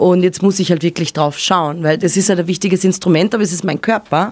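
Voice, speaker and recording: Here a woman speaks with an Austrian accent. Her voice sits at a medium pitch with ordinary pitch variation. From Upper Austria. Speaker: singer and guitarist in a band. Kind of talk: casual interview. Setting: radio studio.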